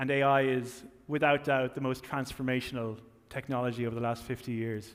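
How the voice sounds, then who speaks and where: In an Irish accent, a man speaks at medium pitch with fairly even intonation. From Ireland. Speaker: tech company marketing executive. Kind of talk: keynote speech. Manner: halting, with frequent fillers and repetitions.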